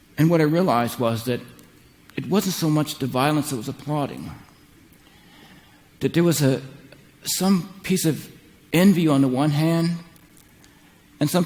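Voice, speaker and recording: A man with an American accent and a fairly high pitch speaks with long, frequent pauses. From United States. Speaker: psychotherapist and keynote speaker. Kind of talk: keynote speech. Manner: halting, some repeated words.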